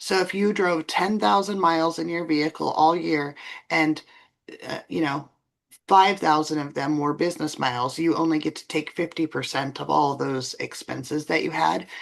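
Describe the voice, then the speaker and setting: Over a quiet background, a woman speaks at a moderate pace with a very deep, low pitch, vocal fry, and ordinary pitch variation. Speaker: bookkeeper and tax professional. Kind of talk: expert interview.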